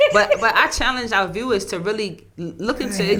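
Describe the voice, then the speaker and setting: An animated voice speaks over noticeable background noise. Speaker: podcast co-host. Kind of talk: casual group discussion.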